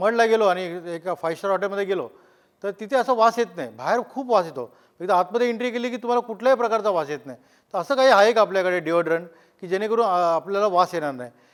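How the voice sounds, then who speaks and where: The recording is very clean, with a silent background. A man speaks in a high pitch with lively intonation. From Maharashtra, raised in Mumbai. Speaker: construction entrepreneur. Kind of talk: testimony.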